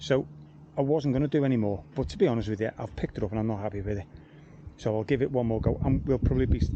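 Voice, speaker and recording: A man speaks at a very fast pace with lively intonation and a medium pitch, over noticeable background noise. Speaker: gardener. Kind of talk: casual vlog commentary. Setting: outdoors. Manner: soft-spoken. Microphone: too quiet, picks up surrounding noise.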